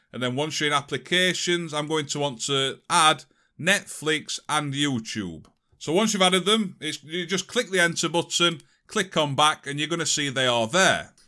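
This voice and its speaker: On a very clean recording with a silent background, a man with a bright, sharp tone and fairly high pitch speaks at a moderate pace. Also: ordinary pitch variation. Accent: British. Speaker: tech tutorial youtuber. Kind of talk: tutorial. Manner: casual.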